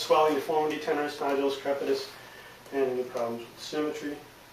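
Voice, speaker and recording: A man's very fast, monotone, flat delivery over noticeable background noise. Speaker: nurse practitioner student. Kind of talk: medical exam demonstration.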